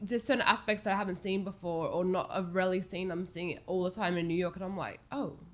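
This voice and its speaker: This woman talks at a very fast pace with hardly any pauses, using a medium pitch, fairly even intonation and an Australian accent. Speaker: homelessness advocate. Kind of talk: casual chat. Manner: halting.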